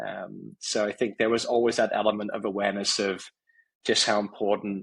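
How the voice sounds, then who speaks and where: In an English accent, the speaker holds a monotone, flat intonation at a moderate pace. The recording is very clean, with a silent background. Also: man. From England, Warwickshire. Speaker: company CEO. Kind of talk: podcast interview.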